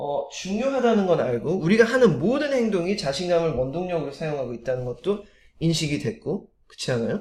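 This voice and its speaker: Very wide pitch swings in a man's high voice. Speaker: motivational speaker. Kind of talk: motivational talk. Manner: frequent filler hesitations.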